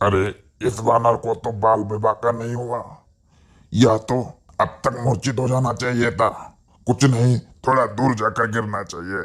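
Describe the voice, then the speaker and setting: A man's cartoonish character voice at a medium pitch. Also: moderate pace. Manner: arrogant, boastful.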